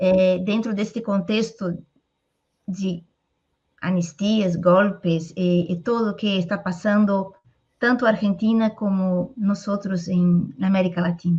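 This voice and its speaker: Somewhat breathy and dark, mellow in tone, the voice moves very slowly with fairly even intonation in a Portuguese accent. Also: woman, medium pitch for a woman. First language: Portuguese (speaking Spanish). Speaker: interviewer. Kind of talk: interview.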